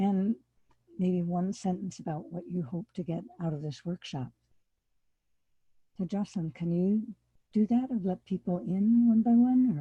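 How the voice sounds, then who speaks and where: In an American accent, a woman speaks at a moderate pace with medium pitch, a dark, mellow tone, and lively intonation, somewhat breathy. Long, frequent pauses break up her speech, and the sound is dry and close with no echo. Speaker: farmer and workshop presenter. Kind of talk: workshop lecture.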